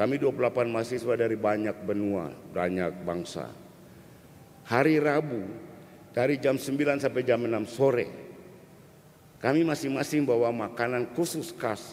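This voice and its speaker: Audible room echo around a man's medium-pitched voice, at a moderate pace with ordinary pitch variation and long, frequent pauses. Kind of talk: sermon.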